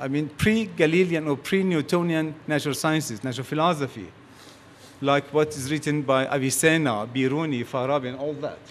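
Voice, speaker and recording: A man with a Persian accent, fairly high pitch, lively intonation and a moderate pace, with audible room echo. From Iran. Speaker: physicist. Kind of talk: conference talk.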